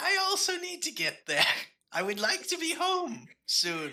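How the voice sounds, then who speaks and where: Fairly slow, extremely high-pitched put-on character voice from a man. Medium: actual play. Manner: rambling, vague, cheerfully confused.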